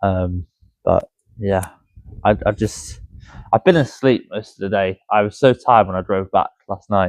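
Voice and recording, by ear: Here a man speaks at a low pitch and a fairly slow pace. The sound is dry and close, with no echo. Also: ordinary pitch variation.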